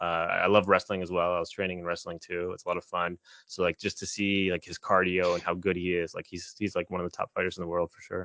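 A man's very deep, low, monotone voice with flat intonation and an American accent, at a very fast pace with hardly any pauses and big swings in loudness. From Maryland, Annapolis area. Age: 20s. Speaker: comic book writer. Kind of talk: casual interview.

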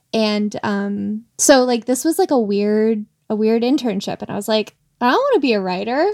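In an unremarkable speaking voice, a woman talks at a moderate pace, her fairly high pitch showing ordinary variation. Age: 30s. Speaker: writer and audio producer. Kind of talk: casual chat.

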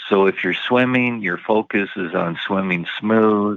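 A man speaks at a fairly slow pace, his pitch fairly low with ordinary variation. It is a normal speaking voice. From Canada. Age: 60s. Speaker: retired bank worker and triathlete. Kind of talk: casual interview.

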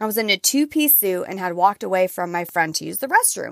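In a very clean recording with a silent background, a woman speaks at a medium pitch with an animated tone and lively intonation. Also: dry, close sound with no echo. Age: 30s. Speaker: podcast host. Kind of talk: motivational solo monologue. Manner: loud, animated.

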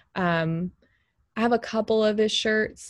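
A woman with an American accent, an unremarkable speaking voice, fairly high in pitch with ordinary pitch variation. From Texas. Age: 30s. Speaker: bereaved widow and mother, grief podcaster. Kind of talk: interview testimony. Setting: video call.

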